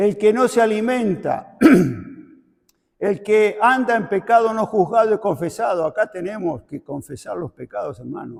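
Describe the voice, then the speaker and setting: Speaking at a fairly slow pace, a man with a high pitch swings widely in loudness. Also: ordinary pitch variation. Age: 70s. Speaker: preacher. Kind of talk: sermon.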